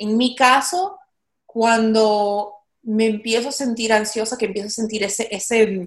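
A woman's fairly high voice, fairly slow and fairly even in intonation. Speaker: actress and podcast host. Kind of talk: casual interview chat. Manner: frequent English code-switching.

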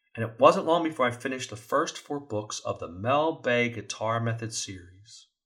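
In a very clean recording with a silent background, a man with a plain, everyday voice speaks at medium pitch and a moderate pace, with ordinary pitch variation and hardly any pauses. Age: 50s. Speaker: safety podcast host. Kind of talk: scripted monologue.

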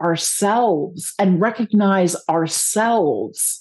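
Against a quiet background, a woman with a fairly high pitch speaks in a dark, mellow, somewhat breathy tone with lively intonation. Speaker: podcast host. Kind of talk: casual interview chat.

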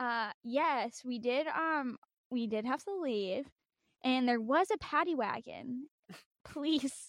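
A woman with an American accent, high-pitched and lively in intonation, at a very slow pace, in a dry, close sound with no echo. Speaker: music podcast co-host. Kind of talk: casual chat.

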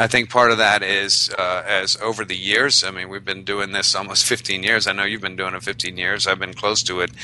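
A man speaks in a fairly low pitch with monotone, flat intonation, at a moderate pace with hardly any pauses. Noticeable background noise runs underneath. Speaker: podcast host. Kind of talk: casual chat.

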